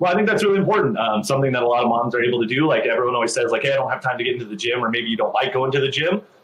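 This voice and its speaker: The man rattles along at a very fast pace, with noticeable background noise behind him. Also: medium pitch for a man, lively intonation, hardly any pauses. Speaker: fitness coach and podcast host. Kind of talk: interview question, upbeat podcast host.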